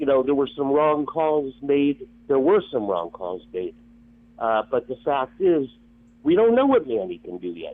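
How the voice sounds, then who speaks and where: This man talks at a fairly slow pace with an American accent. His pitch swings very widely. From Miami, Florida. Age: 60s. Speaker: caller. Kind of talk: casual chat. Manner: halting.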